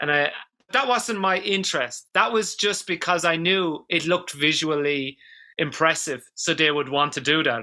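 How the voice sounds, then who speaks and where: This man, with an Irish accent, talks at a moderate pace in a fairly high, bright and sharp voice, his intonation lively and his loudness very even. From Ireland, rural village. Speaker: dance therapist. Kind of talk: interview conversation.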